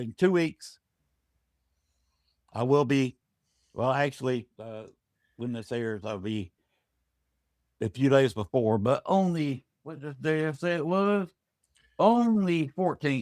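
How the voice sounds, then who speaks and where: In an American accent, a man speaks very slowly with long, frequent pauses, his fairly high pitch making very wide swings and his loudness shifting a lot, in a very clean, silent recording with a dry, close sound and no echo. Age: 60s. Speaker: paranormal investigator. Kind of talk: casual chat. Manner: halting.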